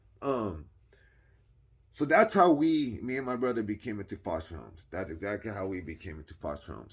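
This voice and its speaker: Speaking fairly quickly, a man delivers his lines. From California, Modesto area. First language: Spanish. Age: 40s. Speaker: youtuber telling life story. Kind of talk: personal storytelling monologue. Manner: casual, halting with fillers.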